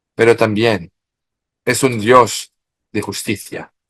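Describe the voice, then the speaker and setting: With a French accent, a man speaks at a medium pitch and a fairly slow pace. The recording is very clean and dry, close with no echo and a silent background. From France. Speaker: expert in Marian studies. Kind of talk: interview. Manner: halting.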